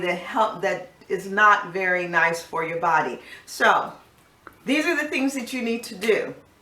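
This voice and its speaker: A woman at medium pitch talks at a moderate pace with audible room echo and noticeable background noise. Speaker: life coach, video host. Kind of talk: casual health talk to camera.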